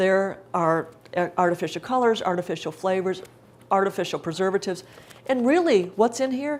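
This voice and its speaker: The speaker talks at a fairly quick pace with lively intonation. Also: woman, medium pitch for a woman. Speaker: cookbook author giving a cooking demonstration. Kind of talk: live cooking demonstration talk. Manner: fast; casual, chatty.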